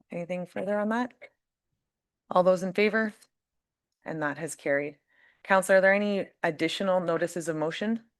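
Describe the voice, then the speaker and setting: With a Canadian accent, a woman talks at a fairly quick pace and ordinary pitch variation against a quiet background. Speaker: mayor chairing council meeting. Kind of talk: formal meeting chairing.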